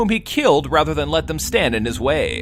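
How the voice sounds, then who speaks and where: Vocal fry marks a man's moderate-paced speech in a very clean recording with a silent background. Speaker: gaming video creator reading aloud. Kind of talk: casual read-aloud of game text.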